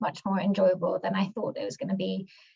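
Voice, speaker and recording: A woman speaks at a fairly quick pace and medium pitch. Her intonation is lively, with vocal fry. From born in London, grew up in the US. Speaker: global health NGO worker, mentee. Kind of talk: self-introduction in video webinar.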